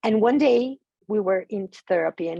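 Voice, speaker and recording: A woman's dark, mellow tone at a moderate pace, with ordinary pitch variation and a dry, close sound with no echo. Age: 60s. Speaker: psychoanalyst. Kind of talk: training presentation. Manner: halting, repeats words.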